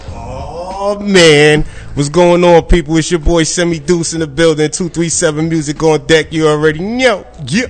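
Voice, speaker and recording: Noticeable background noise sits behind a man speaking at a moderate pace, fairly high in pitch, with fairly even intonation. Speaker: co-host.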